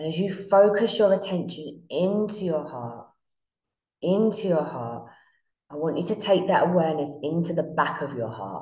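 A woman speaks with audible room echo. The background is quiet. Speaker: meditation guide. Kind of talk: guided meditation. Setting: online class recorded from Bali, shared screen. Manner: slow, soothing, calm and hypnotic, with long drawn-out repetition. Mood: calm, soothing, slow.

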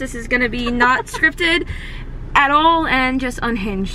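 A woman's high-pitched voice comes across dry, with no echo, over light background noise. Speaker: vlogger. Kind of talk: casual vlog chat. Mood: playful, laughing. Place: car. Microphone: phone near.

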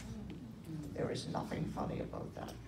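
Over loud background noise, a man speaks at a fairly slow pace. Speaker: stand-up comedian. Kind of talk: stand-up comedy set with audience laughter. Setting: stage with audience. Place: hall.

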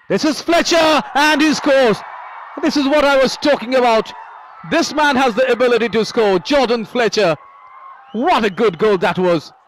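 Extremely high-pitched for a man, this voice keeps a moderate pace against noticeable background noise. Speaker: football commentator. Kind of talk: live football match commentary. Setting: stadium broadcast.

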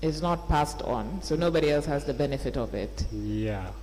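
The pace is moderate as this man speaks. Light noise sits in the background. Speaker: witness. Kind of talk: formal questioning. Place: hall.

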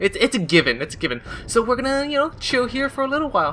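Light background noise sits behind a man speaking in a raised, projected voice. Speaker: gaming video creator. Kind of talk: let's play commentary. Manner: animated, frequent laughter. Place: home room. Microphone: headset.

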